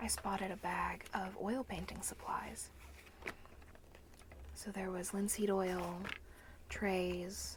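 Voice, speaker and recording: Soft-spoken and gentle in tone, a woman talks at a very slow pace over noticeable background noise. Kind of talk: ASMR haul video to camera. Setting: close-mic ASMR recording. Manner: soft-spoken, gentle.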